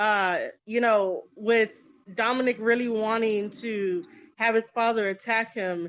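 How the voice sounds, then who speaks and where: At a fairly slow pace, a woman with an American accent uses a normal speaking voice in a fairly high pitch against a quiet background. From New York. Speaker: podcast host. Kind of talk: casual chat. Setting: Twitter Spaces audio room.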